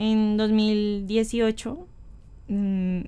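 A woman speaks with a dark, mellow tone. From Colombia. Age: 20s. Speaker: writer and poet; poet. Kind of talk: interview. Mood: relaxed, friendly. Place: home room. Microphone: studio mic.

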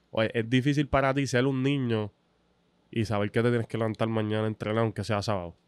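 A man with a Puerto Rican accent speaks at a very fast pace with very even loudness and fairly even intonation, the sound dry with no echo against a quiet background. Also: medium pitch for a man. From Puerto Rico. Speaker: sports podcast host. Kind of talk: casual interview. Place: studio. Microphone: studio mic.

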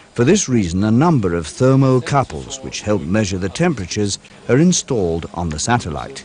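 Over noticeable background noise, a man speaks with fairly low pitch and very wide pitch swings. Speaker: documentary narrator. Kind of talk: vintage documentary narration, scripted technical voiceover. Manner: formal, even and measured; matter-of-fact, brisk and informative, like a corporate film.

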